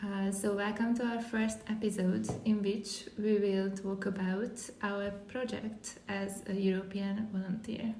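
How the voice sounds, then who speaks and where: A woman talks at a fairly slow pace with hardly any pauses and a monotone, flat intonation, amid audible room echo and noticeable background noise. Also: medium pitch for a woman. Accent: Hungarian. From Hungary. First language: Hungarian. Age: 20s. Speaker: podcast host, volunteer. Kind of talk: casual podcast chat.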